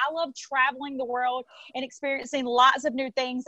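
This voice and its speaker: A woman with a Southern US accent speaks in a high, raised, projected voice with an animated tone. The background is quiet and the sound is dry with no echo. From US South, south Mississippi. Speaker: network marketing affiliate. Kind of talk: sales pitch. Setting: livestream from phone on tripod. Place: home room. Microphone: earbuds.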